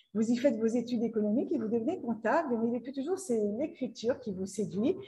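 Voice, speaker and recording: Her voice is high, and her intonation is lively. The woman talks at a very fast pace. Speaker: literary show host. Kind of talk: interview questions.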